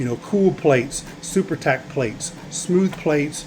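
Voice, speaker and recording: A man with a fairly high pitch speaks at a moderate pace with ordinary pitch variation over noticeable background noise. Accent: American. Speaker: small business owner, 3D print farm. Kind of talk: video tour. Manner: casual, halting with fillers.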